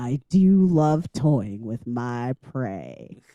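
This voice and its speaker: In a put-on character voice with a strong Southern US accent, the speaker uses a low-to-middle pitch and a menacing tone. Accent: deep southern. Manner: menacing, predatory.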